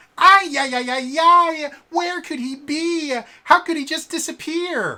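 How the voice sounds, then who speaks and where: Someone uses a put-on character voice, high in pitch and at a fairly slow pace. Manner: frantic, panicked.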